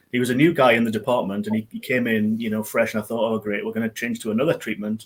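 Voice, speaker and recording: This is a man speaking. He has a Geordie accent. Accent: Geordie, noticeable. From northern England, Newcastle area. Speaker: IT business owner. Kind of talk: interview on a live business show. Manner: hesitant, many fillers.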